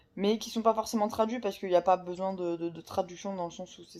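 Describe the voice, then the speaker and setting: A woman's dark, mellow tone at a moderate pace, with fairly even intonation. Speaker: book vlogger. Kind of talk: casual vlog talk. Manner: halting, many fillers.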